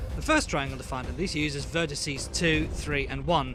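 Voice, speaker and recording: Noticeable background noise under a man talking at a fairly quick pace. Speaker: game developer. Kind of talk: programming tutorial narration.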